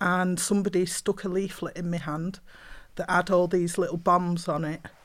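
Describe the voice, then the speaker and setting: A woman's fairly low, monotone voice with flat intonation, in a Mancunian accent, at a moderate pace. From Manchester, England. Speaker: poet and playwright. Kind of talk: panel discussion.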